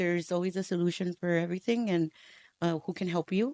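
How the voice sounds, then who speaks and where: A woman with a Spanish accent speaks very fast at a fairly low pitch, her intonation fairly even, in a very clean, dry, close recording with no echo and a silent background. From Texas, Houston and Rio Grande Valley. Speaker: educator and school leader. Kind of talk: interview.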